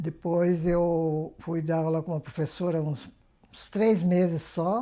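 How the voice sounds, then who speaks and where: A woman's fairly low, dark and mellow voice at a very slow pace, with fairly even intonation and big swings in loudness. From Brazil, São Paulo state (Pilar do Sul). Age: 80s+. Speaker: retired court clerk and writer, interviewee. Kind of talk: interview testimony.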